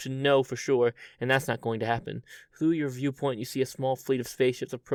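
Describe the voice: Someone does plain reading aloud, the intonation fairly even throughout.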